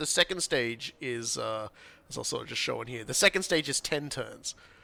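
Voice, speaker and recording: Lively intonation marks this man's bright, sharp tone, delivered in an Australian accent. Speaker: gaming streamer. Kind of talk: casual gameplay chat.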